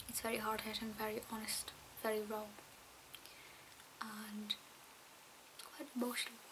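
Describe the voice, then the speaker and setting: Soft-spoken whispering in a Scottish accent at a moderate pace, with long, frequent pauses and noticeable background noise. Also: woman. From Scotland. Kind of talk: ASMR talk to camera. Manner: soft-spoken, whispered.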